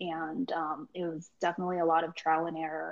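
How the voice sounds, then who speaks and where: An ordinary speaking voice from a woman, fairly low in pitch, comes at a fairly quick pace with fairly even intonation. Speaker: food truck business founder, financial analyst. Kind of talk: interview.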